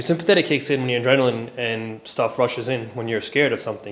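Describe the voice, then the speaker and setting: Mumbling at a very fast pace, a man speaks over noticeable background noise. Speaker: self-help vlogger sharing personal experience. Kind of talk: personal testimony and advice monologue. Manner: hesitant, many fillers.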